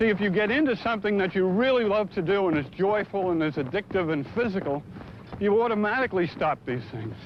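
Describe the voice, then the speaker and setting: A man talks at a fairly quick pace in a high voice. Noticeable background noise runs underneath. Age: 50s. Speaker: runner and running writer. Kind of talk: documentary interview.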